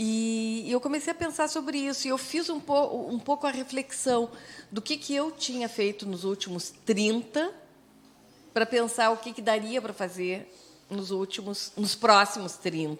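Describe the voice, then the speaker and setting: Speaking at a fairly slow pace, a woman with a normal speaking voice uses lively intonation at a fairly high pitch. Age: 60s. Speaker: radio host. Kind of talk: casual chat.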